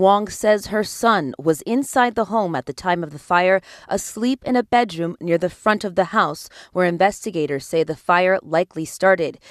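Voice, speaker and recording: In a very clean recording with a silent background and a dry, close sound with no echo, a woman with an American accent talks at a moderate pace, medium pitch and ordinary pitch variation, an unremarkable speaking voice. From Los Angeles. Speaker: television news reporter. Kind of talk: TV news report.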